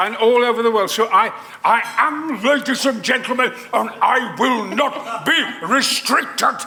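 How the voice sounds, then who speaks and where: Over crowd noise in the background, a man speaks in a raised, projected voice at an extremely high pitch. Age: 80s+. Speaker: actor. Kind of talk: interview answer.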